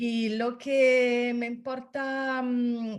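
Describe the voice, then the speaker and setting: A woman with a non-native accent. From Italy. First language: Italian and French (speaking Spanish). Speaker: course participant. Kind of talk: casual chat. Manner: halting.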